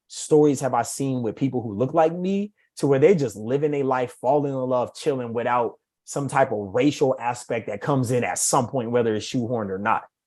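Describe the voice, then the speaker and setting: The man's delivery is fairly quick, and his pitch varies in an ordinary way. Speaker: author. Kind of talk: casual chat. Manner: rambling, halting.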